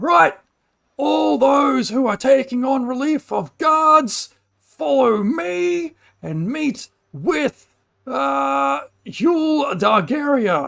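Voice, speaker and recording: This put-on character voice is fairly high, raised and projected, and moves at a very slow pace. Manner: commanding, authoritative.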